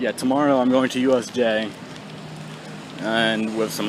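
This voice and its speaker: A man mumbles at a medium pitch and a moderate pace. Background noise is noticeable. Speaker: vlogger. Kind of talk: casual vlog talk. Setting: outdoors on a bike. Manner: mumbling.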